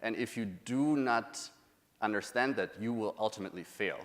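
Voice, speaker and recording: With a German accent, a man holds a medium pitch and speaks with fairly even intonation. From Germany. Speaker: UX researcher. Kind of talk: conference talk.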